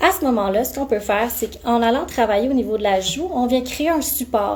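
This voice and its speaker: A woman in a Quebec accent, fairly high pitch, fairly quick pace, ordinary pitch variation, noticeable background noise. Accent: Québécois French. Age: 20s. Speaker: aesthetic clinic practitioner. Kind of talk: live-stream Q&A. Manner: animated.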